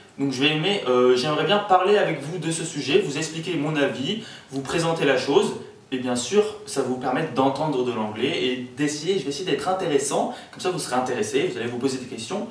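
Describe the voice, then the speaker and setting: Fairly quick speech carries audible room echo and noticeable background noise. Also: man, fairly high pitch for a man, lively intonation. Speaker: student tutor. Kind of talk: casual video explainer. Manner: hesitant, many fillers.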